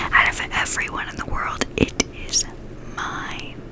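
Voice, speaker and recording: A woman's soothing whisper at a very slow pace, with noticeable background noise. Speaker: ASMR creator. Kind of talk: ASMR ear whispering with positive affirmations. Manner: whispered, slow, soothing.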